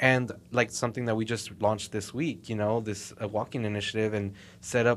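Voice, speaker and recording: The speaker has a normal speaking voice and an American accent. The pace is moderate and the intonation fairly even. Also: man. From Texas, Southside Fort Worth. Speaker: mall marketing coordinator. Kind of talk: casual interview.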